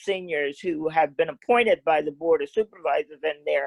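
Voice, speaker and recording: A woman with an American accent, an unremarkable speaking voice, fairly quick pace and ordinary pitch variation, in a dry, close sound with no echo. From US South (Mississippi). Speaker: social justice activist. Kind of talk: talk with audience Q&A. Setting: video call.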